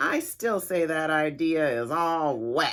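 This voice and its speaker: The speaker mumbles in a put-on character voice at a middle pitch. The pace is fairly slow. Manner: mumbling, grumpy.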